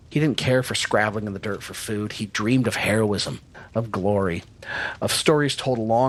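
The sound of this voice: The reading here comes in an unforced voice.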